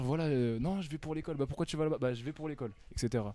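Speaking very fast, a man has a dark, mellow tone. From northern France, Amiens. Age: 20s. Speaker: basketball player. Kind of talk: casual interview.

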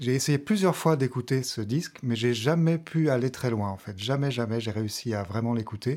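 A man's medium-pitched voice, fairly slow, with ordinary pitch variation, on a very clean recording with a silent background. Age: 30s. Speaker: pianist and vocal coach. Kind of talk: casual interview chat. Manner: halting, many hesitations.

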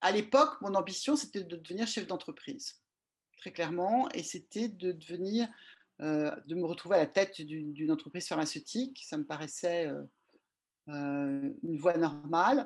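A woman speaks with very wide pitch swings against a quiet background. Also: fairly low pitch for a woman, moderate pace. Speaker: regulatory affairs consultant. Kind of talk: interview. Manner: halting.

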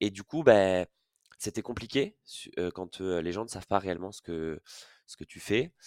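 On a very clean recording with a silent background and a dry, close sound with no echo, a man with a very deep, low pitch talks at a fairly slow pace, taking long, frequent pauses, his loudness swinging widely. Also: ordinary pitch variation. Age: 30s. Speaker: head of partnerships at a fintech. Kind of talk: casual interview. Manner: hesitant, frequent fillers and repetitions.

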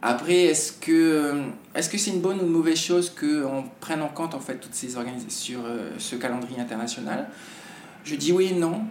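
A man's fairly high voice at a fairly quick pace, with lively intonation, noticeable background noise and audible room echo. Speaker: TV presenter. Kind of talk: casual interview. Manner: halting.

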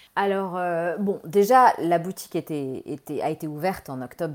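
A woman speaks at a fairly slow pace with a fairly low pitch. The recording is very clean with a silent background. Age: 40s. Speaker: fashion entrepreneur. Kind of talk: interview.

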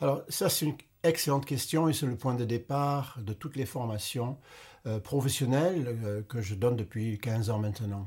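With an English accent, a man speaks at a moderate pace and medium pitch, somewhat breathy, with ordinary pitch variation on a very clean recording with a silent background. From English-speaking Canada. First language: English (speaking French). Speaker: retired doctor and author. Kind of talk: interview.

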